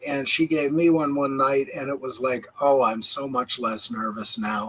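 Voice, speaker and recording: An unremarkable speaking voice from a man, fairly high in pitch, at a moderate pace with fairly even intonation. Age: 60s. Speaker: livestream host. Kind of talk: casual chat. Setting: livestream.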